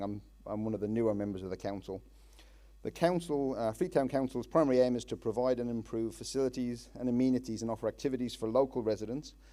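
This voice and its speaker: A man talks very fast at a medium pitch, his tone dark and mellow. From Ireland. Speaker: town councillor. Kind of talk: public speech. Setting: public meeting with audience. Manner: hesitant, many fillers.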